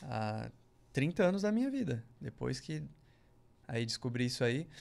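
A man talks at a fairly slow pace. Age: 30s. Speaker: musician; podcast guest. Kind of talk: testimony. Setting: studio. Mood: earnest, personal storytelling. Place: studio. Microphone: studio mic.

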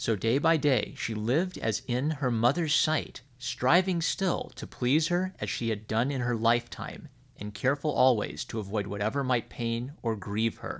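A man speaks at a moderate pace with hardly any pauses, in a normal speaking voice. His pitch is medium, with ordinary variation. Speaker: storyteller reading a fairy tale aloud on a gaming channel. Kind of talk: bedtime story reading aloud, scripted narration of a public-domain fairy tale. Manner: gentle, soothing, measured storyteller pacing.

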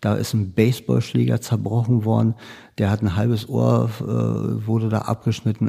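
Somewhat breathy, a man talks at a moderate pace in a medium pitch. His tone is dark and mellow. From Berlin, Germany. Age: 50s. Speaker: criminal profiler, police unit head. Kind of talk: interview.

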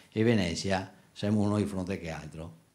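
A man's ordinary speaking voice, fairly low in pitch, with fairly even intonation. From Venice; Italy. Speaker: tour guide. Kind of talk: announcement. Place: hall. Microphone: handheld.

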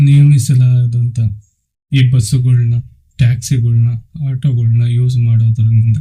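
A man's somewhat breathy voice has a dark, mellow tone and a monotone, flat intonation. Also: medium pitch for a man. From Andhra Pradesh. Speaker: devotional YouTuber. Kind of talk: religious storytelling talk. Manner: halting.

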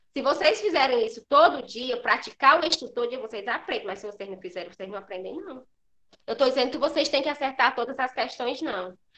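A bright, sharp voice, raised and projected. It races along very fast with lively intonation. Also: woman. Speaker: primary school teacher. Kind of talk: lecture to pupils in an online class. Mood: firm, admonishing. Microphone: webcam.

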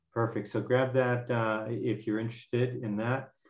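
A man speaks at a medium pitch. The background is quiet, with audible room echo. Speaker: professor hosting webinar. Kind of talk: webinar introduction and closing remarks; webinar moderation and closing remarks. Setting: video call. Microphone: video call.

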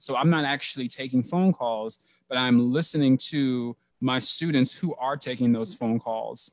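A man with an American accent speaks at a moderate pace with ordinary pitch variation. The background is quiet and the sound is dry, with no echo. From US South. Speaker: counseling professor. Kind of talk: panel discussion. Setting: video call. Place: home room. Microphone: headset.

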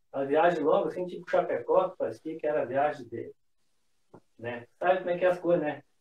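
A man at a very fast pace, big shifts in loudness, and audible echo from the room. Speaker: motorcycle traveler. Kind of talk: casual chat. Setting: video call. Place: home room. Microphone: phone near.

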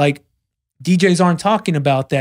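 A man with an unremarkable speaking voice talks at a fairly quick pace with ordinary pitch variation. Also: quiet background. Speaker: DJ and podcast host; DJ, podcast host. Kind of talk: casual chat. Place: studio. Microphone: studio mic.

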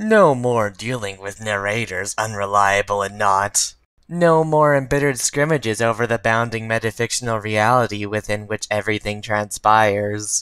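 A man's put-on character voice at medium pitch. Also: moderate pace, hardly any pauses. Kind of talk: comic dub reading. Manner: deadpan.

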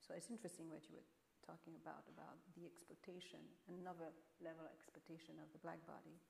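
Speaking very fast in a French accent, a woman is heard over light background noise. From France. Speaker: painter. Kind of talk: panel discussion. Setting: stage with audience. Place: stage.

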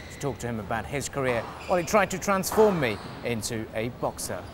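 Against noticeable background noise but with a dry sound and no echo, a man talks at a very fast pace with very wide pitch swings. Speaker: sports show presenter. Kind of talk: TV sports segment presenting and interviewing. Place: hall.

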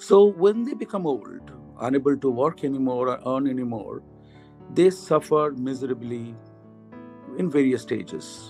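Faint music plays in the background as a man talks at a moderate pace with long, frequent pauses. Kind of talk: personal opinion talk to camera. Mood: earnest, concerned. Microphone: phone near.

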